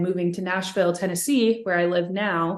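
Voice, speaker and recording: Against a quiet background, a woman with an American accent speaks at a moderate pace, her medium pitch carried in fairly even intonation. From California (Sacramento), US West. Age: 30s. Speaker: singer. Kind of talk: interview. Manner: many fillers, hesitant.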